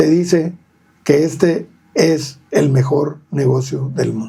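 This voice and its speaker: His tone is dark and mellow, and somewhat breathy. The man speaks at a fairly high pitch with ordinary pitch variation. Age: 60s. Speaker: real estate agent. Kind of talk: podcast interview.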